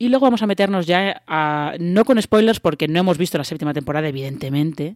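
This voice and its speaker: Against a silent background in a very clean recording, the speaker races along very fast in a Spanish accent. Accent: Spanish (Spain). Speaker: podcast host. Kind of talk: casual chat. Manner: hesitant, many fillers.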